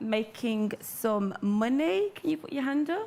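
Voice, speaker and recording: A woman speaks in an animated tone. Her fairly high voice has lively intonation. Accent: Brummie. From Birmingham, England. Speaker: entrepreneur, hair care business owner. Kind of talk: motivational talk to live audience.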